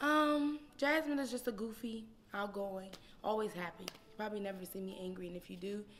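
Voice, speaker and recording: A woman with an American accent speaks at a fairly quick pace, her medium-pitched voice full of lively intonation. Noticeable background noise can be heard behind her. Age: 20s. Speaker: elementary school teacher and singer. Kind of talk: personal testimony interview. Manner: loud; energetic, animated.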